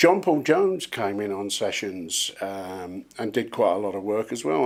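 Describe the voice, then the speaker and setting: A man with an English accent and very wide pitch swings, on a very clean recording with a silent background. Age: 60s. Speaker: session drummer. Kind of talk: interview.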